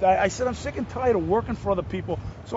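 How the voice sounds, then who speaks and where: A man in a New Jersey accent, high-pitched, animated, and very fast, with noticeable background noise. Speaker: actor. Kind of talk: casual interview. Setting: outdoors.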